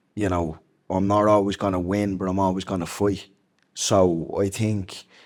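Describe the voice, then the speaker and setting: A man in a Dublin accent, fairly low-pitched and monotone with flat intonation, at a moderate pace in a very clean recording with a silent background. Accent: Dublin Irish. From Ireland, Dublin inner city. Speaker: former MMA fighter. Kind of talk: interview. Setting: stage with audience.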